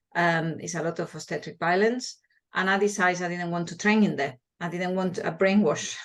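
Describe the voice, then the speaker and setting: Speaking fairly quickly, a woman with a Spanish accent uses a fairly low pitch and fairly even intonation. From Spain, small village. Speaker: midwife and hypnobirthing teacher. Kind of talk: interview. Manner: halting, with repeated words.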